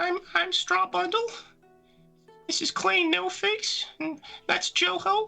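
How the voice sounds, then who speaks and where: An extremely high-pitched put-on character voice at a fairly slow pace, with long, frequent pauses and faint music in the background. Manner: little, small voice.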